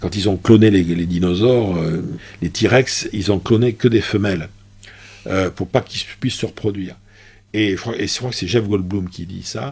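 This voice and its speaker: At a moderate pace, a man with a fairly low, somewhat breathy voice uses ordinary pitch variation and leaves long, frequent pauses. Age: 60s. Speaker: business school professor and public speaker. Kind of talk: casual interview. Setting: office. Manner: hesitant, repeats words.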